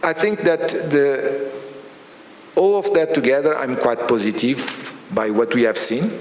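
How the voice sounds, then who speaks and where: A man with a Portuguese accent talks with lively intonation over noticeable background noise. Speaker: oil company executive. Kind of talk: speech at new year reception. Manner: halting.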